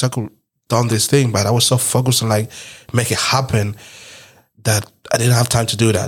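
A very fast man's voice with a non-native accent, medium pitch and fairly even intonation, on a very clean recording with a silent background. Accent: foreign. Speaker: podcast host. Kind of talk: casual chat.

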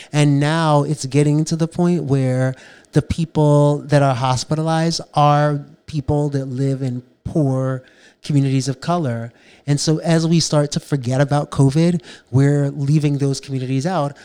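A man with an American accent speaks at a moderate pace in a fairly high voice, his tone dark and mellow and his intonation monotone and flat. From New York City (South Bronx). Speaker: podcast co-host, bail fund advocate. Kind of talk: casual discussion. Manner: hesitant, many fillers.

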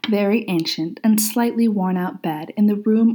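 Read aloud in a natural voice, the delivery shows ordinary pitch variation.

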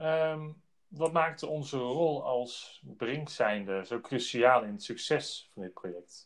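With lively intonation, a man talks at a very slow pace on a very clean recording with a silent background. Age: 30s. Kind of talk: business interview. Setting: outdoors on site.

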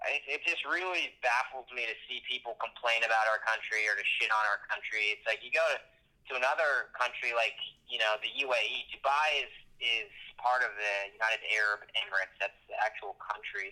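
With a normal speaking voice, a man talks at a moderate pace with ordinary pitch variation. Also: medium pitch for a man. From Maine, US (Brunswick). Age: 20s. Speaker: YouTube creator. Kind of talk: casual interview.

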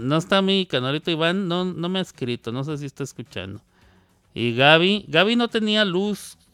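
Speaking at a fairly slow pace, a man uses a bright, sharp tone with very wide pitch swings. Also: very clean recording, silent background. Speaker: radio host. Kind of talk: casual chat. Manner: halting.

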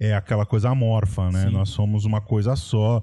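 The voice has a dark, mellow tone and ordinary pitch variation. The background is quiet. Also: man. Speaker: history podcast co-host. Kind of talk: casual history discussion. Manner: animated, laughs often.

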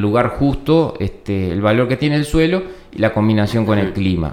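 The speaker has a Uruguayan accent and lively intonation. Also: man. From Uruguay, Florida. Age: 40s. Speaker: viticulture agronomist. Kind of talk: interview. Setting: winery premises. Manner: halting, many repetitions and fillers.

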